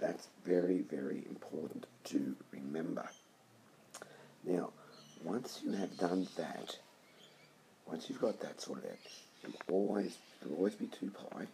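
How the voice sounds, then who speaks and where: In a whisper, the words come at a fairly slow rate, broken by long pauses that occur often. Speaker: maths teacher. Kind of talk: tutorial. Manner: hesitant, with fillers.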